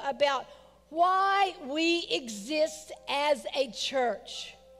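A woman's voice over faint background music. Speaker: lead pastor. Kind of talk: prayer then sermon. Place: church. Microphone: headset.

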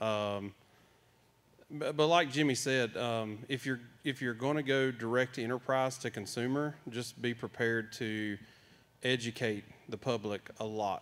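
A man with a Southern US accent speaks at a medium pitch, using fairly even intonation and a fairly slow pace. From North Carolina. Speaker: farmer; panelist. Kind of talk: panel discussion. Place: hall. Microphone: handheld.

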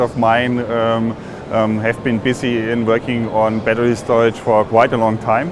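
A man speaks at a fairly slow pace in a monotone, flat intonation. The sound is dry with no echo, with noticeable background noise. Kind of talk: interview answer. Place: hall. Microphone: lapel.

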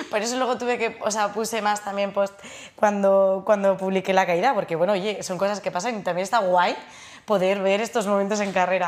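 Her intonation monotone and flat, a woman speaks at a fairly quick pace. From Spain, Navarre (Pamplona); Navarre, Spain. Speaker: trail runner and lawyer; lawyer. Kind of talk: studio interview. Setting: studio. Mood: relaxed, friendly. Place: studio. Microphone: lapel.

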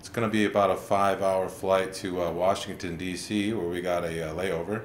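Over light background noise and audible room echo, a man speaks at a moderate pace with a very deep, low pitch. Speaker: comic vlogger. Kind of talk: casual comedic monologue. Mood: deadpan, wry humor. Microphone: webcam.

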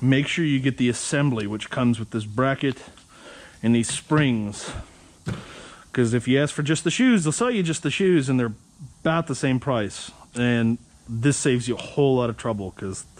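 Here a man speaks at a moderate pace with ordinary pitch variation. His speech has long, frequent pauses. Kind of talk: tutorial. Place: garage. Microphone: phone near.

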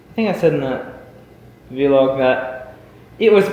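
Audible room echo surrounds a man talking at a moderate speed. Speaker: vlogger. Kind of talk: casual vlog chat. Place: garage. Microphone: webcam.

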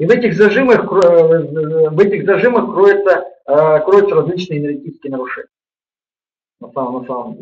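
Fairly quick, high-pitched male speech with ordinary pitch variation. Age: 50s. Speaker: yoga teacher; webinar host, practice teacher. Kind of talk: webinar lecture; sales pitch. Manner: halting, with many repetitions. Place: home room. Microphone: webcam.

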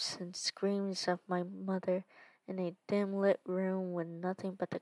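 Someone reads aloud. The voice sounds natural.

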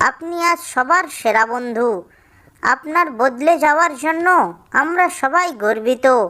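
A woman's cartoonish character voice, high-pitched with lively intonation, very even loudness and a fairly slow pace. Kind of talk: children's cartoon. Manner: respectful, polite.

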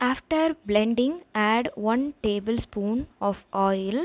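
A woman speaks with ordinary pitch variation against a quiet background. The sound is dry, with no echo. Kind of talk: tutorial. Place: kitchen.

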